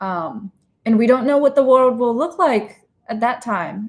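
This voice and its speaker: Over a silent background in a very clean recording, a woman speaks at a moderate pace with ordinary pitch variation. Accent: slight Chinese. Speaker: interviewer and comedian. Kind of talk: casual chat.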